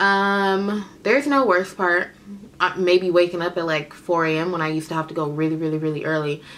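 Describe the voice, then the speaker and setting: A woman talks at a fairly quick pace, her fairly low pitch showing ordinary variation. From Oakland, California. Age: 20s. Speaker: beauty vlogger, makeup artist. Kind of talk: casual Q&A vlog. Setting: home video recording. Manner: chatty, informal. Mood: relaxed, candid, humorous.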